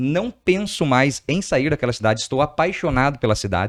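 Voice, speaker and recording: At a moderate pace, a man talks with a medium pitch and lively intonation. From Brazil, outside Rio Grande do Sul (border city). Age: 30s. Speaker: entrepreneur. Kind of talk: podcast interview.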